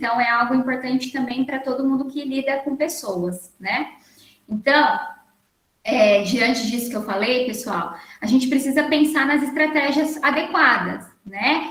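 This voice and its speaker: In a room with audible echo, a woman with a high pitch talks fairly slowly, her pitch varying in an ordinary way. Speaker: workshop lecturer on learning disorders. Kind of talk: online lecture.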